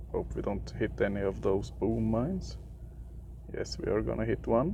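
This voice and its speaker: Room echo is audible in this clip. A man talks at a moderate pace. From Sweden. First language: Swedish. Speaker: gaming youtuber. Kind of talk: gameplay commentary. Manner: halting, many fillers.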